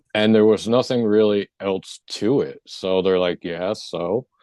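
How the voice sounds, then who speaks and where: Mumbling, a man keeps his intonation fairly even. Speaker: near-death experience survivor and energy healer. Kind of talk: interview testimony.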